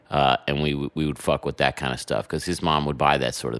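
A man's voice with vocal fry. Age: 30s. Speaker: podcast host. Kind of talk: casual chat. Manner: halting, many fillers and repeats.

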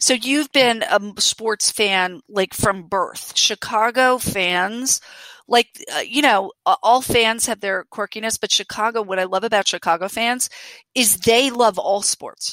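A woman with an American accent speaks at a fairly slow pace in a fairly high, bright and sharp voice, recorded very cleanly with a silent background and a dry, close sound with no echo. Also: ordinary pitch variation. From Aruba and Venezuela, then New York. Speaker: sports league commissioner. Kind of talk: interview, casual chat.

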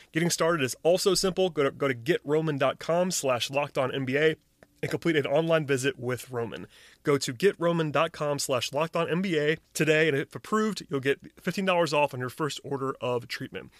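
A man with an ordinary speaking voice talks at a fairly quick pace and a fairly high pitch, with ordinary pitch variation. The sound is dry and close with no echo, on a very clean recording with a silent background. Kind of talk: sponsor ad read within a podcast, infomercial-style sales pitch. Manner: upbeat, persuasive, promo-code pitch with steady, polished salesman delivery.

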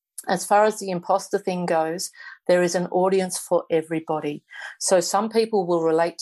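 In a normal speaking voice, a woman keeps to a moderate pace. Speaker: author and palliative care worker. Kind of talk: interview conversation.

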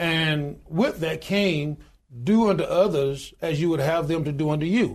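Speaking at a fairly slow pace, a man with a Southern US accent has a high pitch and ordinary pitch variation. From US South, Alabama. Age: 60s. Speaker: union leader and pastor. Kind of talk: interview. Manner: animated.

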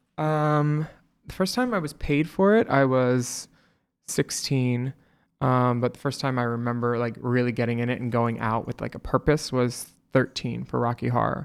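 A man's plain, everyday voice with an American accent, medium pitch, fairly even intonation and moderate pace, in a very clean recording with a silent background. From US East Coast (Florida, Philadelphia, New Jersey). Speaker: drag performer and actor. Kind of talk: casual chat.

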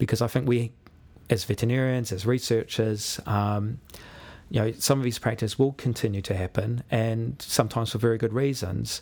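A man with a New Zealand accent speaks at a fairly quick pace and a medium pitch. His intonation is fairly even, and the recording is very clean with a silent background. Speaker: university lecturer, animal welfare scientist. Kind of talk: casual interview. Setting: studio.

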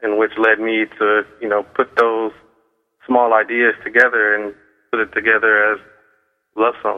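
Moderate pace and monotone, flat intonation from a man with an American accent at a medium pitch. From US Midwest, Cleveland, Ohio. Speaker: novelist. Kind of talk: radio interview.

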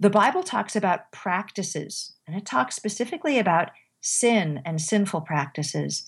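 Somewhat breathy, a woman speaks at medium pitch and a moderate pace. Her intonation is lively, and the very clean recording has a silent background. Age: 50s. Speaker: former English professor and author. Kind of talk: interview. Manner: halting.

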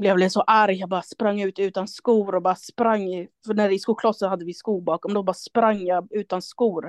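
Monotone, flat intonation at a moderate pace, with a dry, close sound, no echo and a quiet background. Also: woman. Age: 30s. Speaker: artist and gallery owner. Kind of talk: casual chat.

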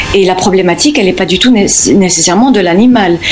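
Noticeable background noise accompanies a woman speaking at a fairly quick pace, her medium pitch carrying ordinary variation. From Spain (Formentera, Balearic Islands), born in the US. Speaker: animal communicator. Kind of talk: radio interview. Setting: remote call from the US. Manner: halting, many repetitions.

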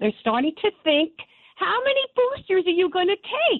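A woman with a New York accent speaks at a fairly slow pace with very wide pitch swings, over noticeable background noise. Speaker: caller. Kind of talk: radio call-in. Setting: phone call.

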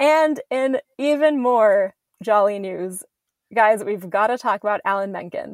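In a dry, close recording with no echo, a woman speaks at a fairly high pitch with ordinary pitch variation. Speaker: podcast host. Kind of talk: casual chat.

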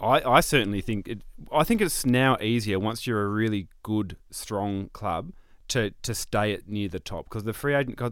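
A man with an Australian accent, medium pitch and a moderate pace. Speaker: football pundit. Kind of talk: casual chat.

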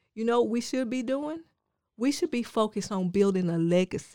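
A woman's fairly high, dark, mellow voice with lively intonation and a dry, close sound with no echo. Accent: Southern US. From rural Georgia, US South. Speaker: life coach. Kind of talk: casual interview.

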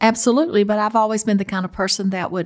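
The speaker has a Southern US accent, a calm tone and vocal fry. The recording is very clean with a silent background. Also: woman. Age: 70s. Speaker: host's mother. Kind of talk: casual chat.

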